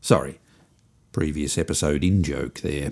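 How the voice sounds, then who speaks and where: In a very clean recording with a silent background, a man with an Australian accent speaks at a moderate pace in a dark, mellow tone. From Australia, Melbourne suburbs. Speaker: podcast host and musician. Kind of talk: scripted comedic monologue.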